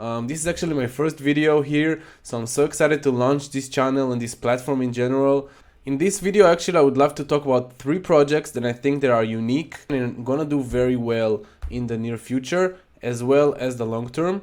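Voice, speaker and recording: Speaking at a fairly quick pace with a non-native accent, a man uses a fairly high pitch and ordinary pitch variation. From Israel. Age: 20s. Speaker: NFT YouTuber. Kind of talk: casual video commentary.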